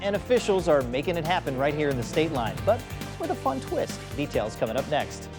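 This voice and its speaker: Music plays behind a man who talks fairly quickly. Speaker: local TV news anchor. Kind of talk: TV newscast reading, story intros and teases.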